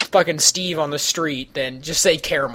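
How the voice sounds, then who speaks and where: Here is a man speaking. He talks with a Midwestern accent. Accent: Midwestern drawl, noticeable. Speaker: podcast host. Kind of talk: casual chat. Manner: animated.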